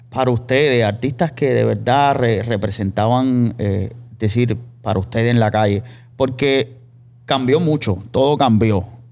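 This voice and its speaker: A man has an unremarkable speaking voice at a medium pitch. His loudness is very even and his pitch varies in an ordinary way. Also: fairly slow pace. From Cuba. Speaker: podcast host. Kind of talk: casual interview chat. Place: studio. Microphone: studio mic.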